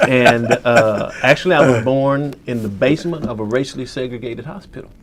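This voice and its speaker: A man with an American accent speaks fairly quickly at a medium pitch with ordinary pitch variation. Background noise is noticeable. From US South, western Kentucky. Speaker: photojournalist. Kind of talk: interview.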